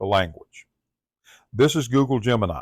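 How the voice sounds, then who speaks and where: The speaker has a Southern US accent. The sound is dry and close with no echo, on a very clean recording with a silent background. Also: man. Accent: Southern US accent, drawl. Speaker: tech tutorial presenter. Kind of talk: tutorial.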